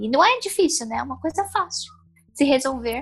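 The woman's voice sits at a high pitch. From São Paulo, Brazil. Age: 20s. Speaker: blind makeup enthusiast. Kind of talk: interview.

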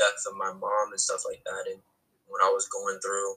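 With an American accent, a man talks at a moderate pace as music runs in the background. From North New Jersey. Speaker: artist and filmmaker. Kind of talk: casual chat interview. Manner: halting, repeats words.

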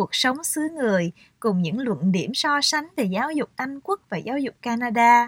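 Speech comes at a very slow pace. The recording is very clean, with a silent background and a dry, close sound with no echo. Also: woman. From Vietnam, Saigon. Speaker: author. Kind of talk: reading aloud.

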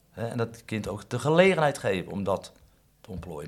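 This man's voice is somewhat breathy and swings very widely in pitch. He talks at a moderate pace. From Netherlands, Katwijk. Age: 50s. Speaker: fishmonger. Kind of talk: interview. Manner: halting.

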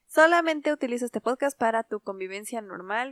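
A woman talks at a fairly quick pace with lively intonation in an ordinary speaking voice, captured dry and close with no echo in a very clean recording with a silent background. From Latin America, Spanish-speaking country. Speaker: podcast co-host. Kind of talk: casual chat.

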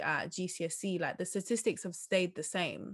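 Over a quiet background, a woman with an unremarkable speaking voice talks at a moderate pace and medium pitch, her intonation fairly even. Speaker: podcast host. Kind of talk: interview conversation.

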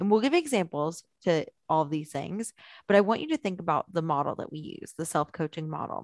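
Recorded dry and close with no echo, a woman talks at a fairly quick pace in an animated, playful tone, with fairly low pitch and ordinary pitch variation. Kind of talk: game show host parody. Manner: animated, playful, excitable, with a bright showman's delivery.

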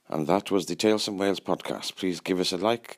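Here is an ordinary speaking voice from a man, fairly low in pitch. He talks at a fairly quick pace with a dry, close sound and no echo. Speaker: podcast co-host. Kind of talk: casual interview chat.

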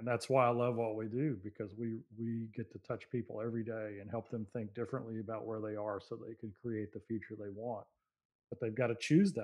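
Fairly quick, fairly even delivery from a man at medium pitch, a normal speaking voice. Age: 50s. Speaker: motivational speaker and CEO. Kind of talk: interview. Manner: calm.

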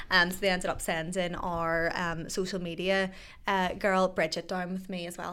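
Speaking in a Northern Irish accent, a woman talks fairly quickly at medium pitch. Her tone is bright and sharp, and her intonation is monotone and flat. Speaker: radio presenter. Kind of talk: casual chat. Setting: studio. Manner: fast.

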